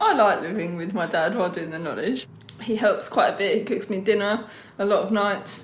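With a London accent, a woman speaks fairly quickly at medium pitch and ordinary pitch variation, with audible room echo and noticeable background noise. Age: 20s. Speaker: trainee taxi driver. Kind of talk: documentary interview.

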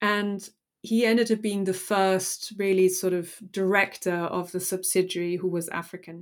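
In a German accent, a woman with a medium pitch and fairly even intonation speaks on a very clean recording with a silent background. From Germany. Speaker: historian and author. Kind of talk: academic interview.

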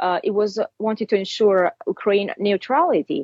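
A woman with an Italian accent speaks at a fairly quick pace and medium pitch. The sound is dry and close with no echo. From Italy. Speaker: fashion designer and commentator. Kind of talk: interview.

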